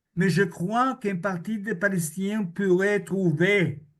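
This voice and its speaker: In a room with audible echo, a man speaks at a very slow pace in a high voice with ordinary pitch variation. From Israel. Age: 70s. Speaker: historian and author. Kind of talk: conference Q&A answer. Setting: video link to public conference.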